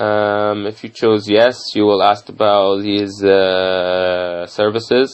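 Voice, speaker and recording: A man with an Arabic accent talks at a fairly low pitch in a monotone, flat intonation. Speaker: medical student. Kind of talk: tutorial. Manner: halting, many fillers.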